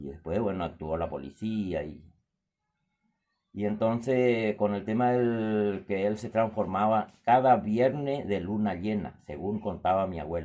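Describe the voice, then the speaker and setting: Speaking at a fairly slow pace, a man has a fairly low pitch and a dark, mellow tone. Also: ordinary pitch variation. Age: 60s. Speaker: storyteller. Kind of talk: storytelling. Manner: halting.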